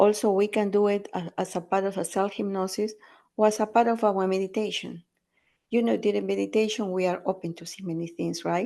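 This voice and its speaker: Over a quiet background, the speaker talks at a fairly quick pace with fairly even intonation and a dark, mellow tone. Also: woman, medium pitch for a woman. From Peru. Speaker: intuitive coach and hypnotherapist. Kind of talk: podcast interview answer, coaching advice.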